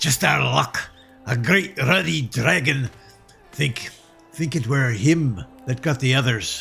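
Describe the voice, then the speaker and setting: A man's put-on character voice at medium pitch, fairly slow, with faint music in the background. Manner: gruff, exasperated.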